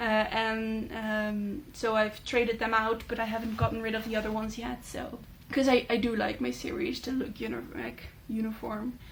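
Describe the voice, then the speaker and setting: With a Dutch accent, a woman speaks at a moderate pace with hardly any pauses, her fairly high pitch somewhat breathy and her intonation fairly even, amid audible room echo. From Netherlands. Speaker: booktuber. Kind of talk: casual chat. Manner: hesitant, many fillers.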